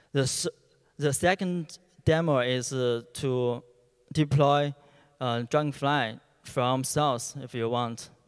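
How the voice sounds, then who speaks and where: A man with a Chinese accent speaks very slowly at a medium pitch, his intonation fairly even. He pauses long and often against a quiet background. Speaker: software engineer; conference presenter. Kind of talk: conference talk. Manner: halting. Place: hall. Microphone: handheld.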